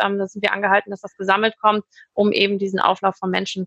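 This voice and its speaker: Her pace is fairly quick. The woman's tone is bright and sharp. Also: dry, close sound with no echo. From Hamburg, northern Germany. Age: 40s. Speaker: restaurant owner. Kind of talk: interview.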